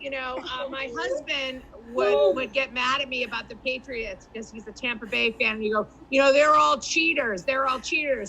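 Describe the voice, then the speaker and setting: Noticeable background noise surrounds a woman speaking with a Boston accent. Her high voice is raised and projected. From Boston area. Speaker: comedian. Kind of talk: stand-up.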